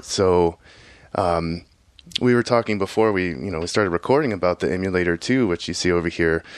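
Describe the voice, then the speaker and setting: Against a quiet background, a man with an American accent speaks at a fairly quick pace in a very deep, low pitch, the sound dry and close with no echo. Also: ordinary pitch variation. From Houston, Texas. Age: 40s. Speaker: electronic musician and software engineer. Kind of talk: casual interview. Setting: home studio.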